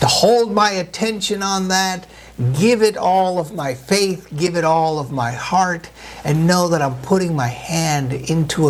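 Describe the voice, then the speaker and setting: The room echo is audible and the background noise noticeable. A man speaks with lively intonation. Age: 60s. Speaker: pastor. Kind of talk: sermon.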